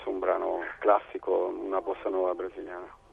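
A man's voice over noticeable background noise. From Italy, Bari (Apulia). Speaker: musician. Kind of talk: interview. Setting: phone call. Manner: halting.

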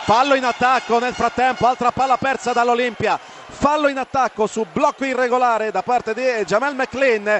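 Against noticeable background noise, a man speaks at an extremely high pitch with fairly even intonation. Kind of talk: live sports commentary. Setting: arena commentary booth.

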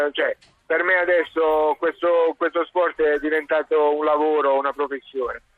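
With music in the background, a man speaks at a moderate pace in a fairly high, monotone, flat voice. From Apulia, southern Italy (Terlizzi, Bari). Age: 40s. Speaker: Paralympic handbike champion. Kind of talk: radio interview.

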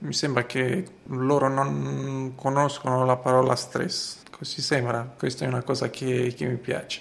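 Over noticeable background noise, a man speaks at a fairly slow pace in a monotone, flat intonation with hardly any pauses. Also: medium pitch for a man. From Romania, Bucharest. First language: Romanian (speaking Italian). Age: 30s. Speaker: supermarket manager. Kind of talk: interview testimony. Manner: halting.

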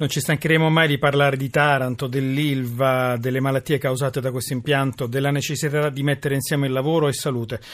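Hardly pausing, a man speaks very fast at a fairly high pitch. His intonation stays monotone and flat. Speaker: radio host. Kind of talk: radio talk show.

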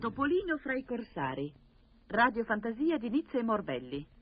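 Somewhat breathy and fairly high, a woman's voice moves through very wide pitch swings. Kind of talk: old-time radio play. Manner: animated, theatrical, excitable, comically melodramatic.

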